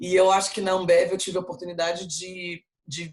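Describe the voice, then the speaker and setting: A woman speaks at a moderate pace in a fairly low voice, her intonation fairly even. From Brazil, Rio de Janeiro. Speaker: marketing executive. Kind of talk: interview. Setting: video call.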